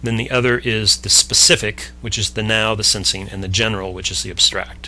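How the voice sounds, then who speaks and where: Against noticeable background noise, a man with a fairly low pitch talks at a fairly quick pace with very wide pitch swings. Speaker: podcast host explaining a concept. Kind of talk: explanatory conversation. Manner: fast; halting, self-correcting.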